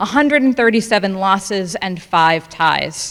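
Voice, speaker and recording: A woman's loud voice at a moderate pace, with very wide pitch swings. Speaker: family member giving speech. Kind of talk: prepared speech.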